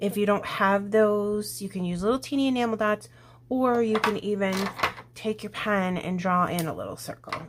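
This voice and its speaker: A woman speaks at medium pitch and a moderate pace with fairly even intonation, amid noticeable background noise. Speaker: scrapbooking crafter. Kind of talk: crafting tutorial. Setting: at home. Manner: whispering; casual, thinking aloud.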